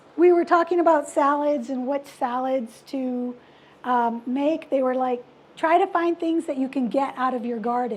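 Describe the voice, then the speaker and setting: A woman speaks with a high voice at a moderate pace. Her pitch varies in an ordinary way over a quiet background. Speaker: cooking class presenter. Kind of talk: cooking demonstration.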